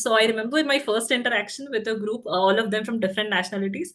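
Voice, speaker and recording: A woman talks at a very fast pace. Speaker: alumni panelist. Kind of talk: webinar panel discussion. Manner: hesitant, many fillers.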